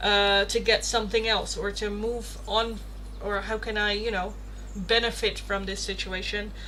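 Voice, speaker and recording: A woman at a moderate pace, with audible room echo and noticeable background noise. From Netherlands. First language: Dutch. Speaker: tarot reader, livestreamer. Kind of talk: casual livestream chat. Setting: live stream. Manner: animated.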